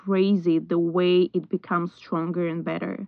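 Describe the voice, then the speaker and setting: A woman at a medium pitch with a normal speaking voice, at a fairly slow pace. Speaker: podcast host. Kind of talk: interview chat.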